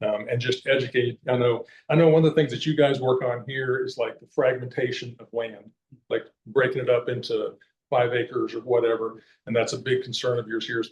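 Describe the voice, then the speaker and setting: A man with an American accent speaks at a fairly quick pace in a medium-pitched, somewhat breathy voice. His intonation stays monotone and flat while his loudness swings widely. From Kansas. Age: 60s. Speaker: conservation advocate and hunter. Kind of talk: public talk. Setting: library meeting room with audience. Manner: casual, halting with fillers.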